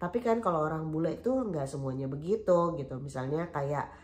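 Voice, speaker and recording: A woman's voice with audible room echo. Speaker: vlogger. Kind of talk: casual vlog chat. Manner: chatty, many fillers.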